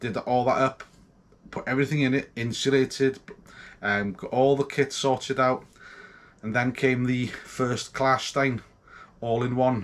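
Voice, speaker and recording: This man speaks with a North Welsh accent. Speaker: homebrewer vlogger. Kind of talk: casual vlog. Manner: hesitant, many ums and ahs.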